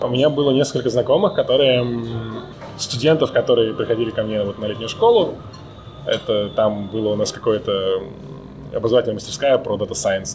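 Music plays in the background as a man talks at a fairly quick pace broken by long, frequent pauses. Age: 30s. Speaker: data scientist. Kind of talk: casual chat.

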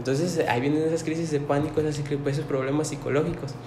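A man talks in a fairly high voice. There is noticeable background noise and audible room echo. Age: 20s. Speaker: paramedic. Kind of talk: casual interview.

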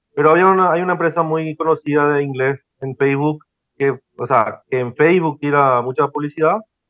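This man's voice has a fairly high pitch. His intonation is fairly even. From Paraguay. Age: 40s. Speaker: operations manager and online course student. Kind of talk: mentoring conversation. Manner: halting, many fillers.

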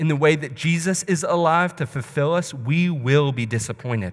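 With a plain, everyday voice, a man talks at a moderate pace and fairly high pitch with lively intonation, recorded very cleanly against a silent background. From US South, Alabama (Birmingham area). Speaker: missionary preacher. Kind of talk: sermon. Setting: church.

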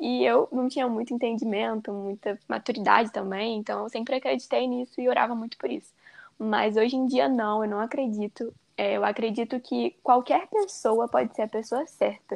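The woman has an unremarkable speaking voice with a fairly high pitch and ordinary pitch variation, talking at a moderate pace in a dry, close sound with no echo over a quiet background. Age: 20s. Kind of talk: casual chat.

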